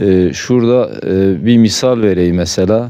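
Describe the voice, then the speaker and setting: At a medium pitch and fairly slow pace, a man speaks in a dark, mellow tone with ordinary pitch variation. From eastern Turkey, Bingöl. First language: Zazaki (speaking Turkish). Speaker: villager interviewee. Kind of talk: interview testimony.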